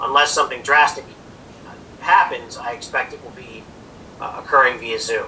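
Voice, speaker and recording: Fairly quick speech from a man amid noticeable background noise. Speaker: lawyer chairing a township hearing. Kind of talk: formal public hearing procedure. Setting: video call. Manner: loud; formal.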